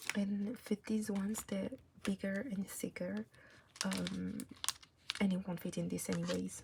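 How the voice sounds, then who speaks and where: The speech moves at a fairly slow pace with long, frequent pauses over noticeable background noise. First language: not English. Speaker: K-pop photocard collector YouTuber. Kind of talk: casual tutorial-style vlog. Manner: casual, hesitant with fillers.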